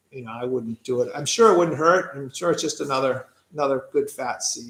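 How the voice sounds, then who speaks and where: The pace of this man's speech is fairly quick. He has an American accent. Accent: Boston accent, comes out more when tired. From Massachusetts (Quincy, near Boston). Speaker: pigeon racer. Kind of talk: live stream Q&A. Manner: casual, with hesitations.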